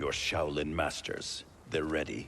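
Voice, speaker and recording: A man uses a put-on character voice with a very deep, low pitch. He speaks at a fairly slow pace against clear background noise. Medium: video game. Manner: stern, guarded.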